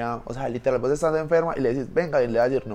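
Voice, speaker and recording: Using an ordinary speaking voice, a man talks at medium pitch, his pitch varying in an ordinary way. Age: 20s. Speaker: engineering student. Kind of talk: casual chat.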